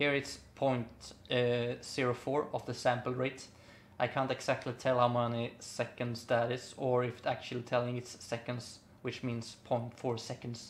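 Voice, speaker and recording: A man with a non-native accent speaks at a medium pitch in a flat, monotone way at a fairly slow pace. The recording is very clean with a silent background. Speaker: music producer. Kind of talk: tutorial. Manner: halting, many fillers.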